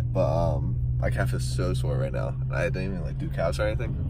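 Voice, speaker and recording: A man speaks at a fairly quick pace in a dry sound with no echo. Loud background noise sits behind him. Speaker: vlogger. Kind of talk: casual vlog chat. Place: car. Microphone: phone near.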